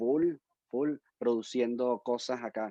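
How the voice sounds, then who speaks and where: A man speaks at a medium pitch with a Venezuelan accent. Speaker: musician and educator. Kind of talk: interview; casual chat.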